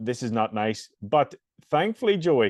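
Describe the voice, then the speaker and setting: A man speaks with a Northern Irish accent. His pitch sits in the medium range. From Northern Ireland. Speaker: fitness coach and podcast host. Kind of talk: casual podcast interview.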